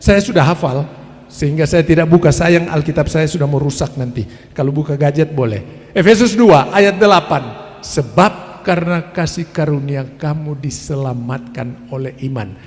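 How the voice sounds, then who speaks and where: Fairly high pitch for a man, ordinary pitch variation and a moderate pace over noticeable background noise. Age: 70s. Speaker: preacher. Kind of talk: sermon. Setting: family worship gathering.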